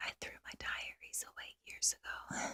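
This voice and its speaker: The sound is dry and close, with no echo. A woman whispers. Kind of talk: whispered ASMR diary entry.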